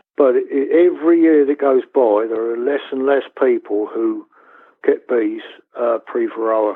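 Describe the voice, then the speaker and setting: Speaking in a Southern English accent, a man talks. His pace is fairly slow. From West Sussex, England. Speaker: beekeeper. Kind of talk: interview answer. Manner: hesitant, conversational.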